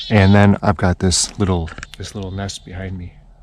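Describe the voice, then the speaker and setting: A man with an American accent and a very deep, low pitch speaks over noticeable background noise. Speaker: hunting video creator. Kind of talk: outdoor tutorial. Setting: outdoors in the woods. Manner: whispering.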